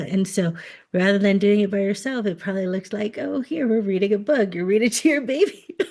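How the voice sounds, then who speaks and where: Against a quiet background, a woman speaks in an American accent with a dark, mellow tone. Her voice is somewhat breathy and her intonation lively. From United States. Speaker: podcast host. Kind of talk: podcast interview.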